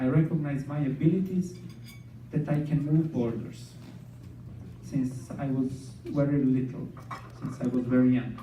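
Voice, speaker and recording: A man at a fairly slow pace, with long, frequent pauses and audible room echo. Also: medium pitch for a man, fairly even intonation. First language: Serbian. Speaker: scientist and dancer, speaker. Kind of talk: inspirational talk.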